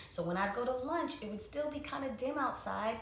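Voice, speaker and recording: Over noticeable background noise and audible room echo, a woman talks with very wide pitch swings. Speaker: wellness educator. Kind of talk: instructional talk. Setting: livestream.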